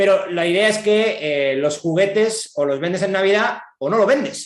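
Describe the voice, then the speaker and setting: A man's pitch swings very widely. Audible room echo surrounds his voice. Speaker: economist giving a talk. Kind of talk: lecture. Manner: fast; hesitant fillers.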